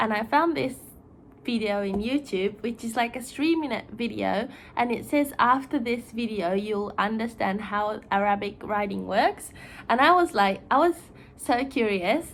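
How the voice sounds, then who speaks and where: A woman with a Japanese accent and a fairly high pitch speaks at a fairly slow pace with lively intonation. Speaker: YouTuber. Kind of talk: casual explainer video. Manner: chatty, informal.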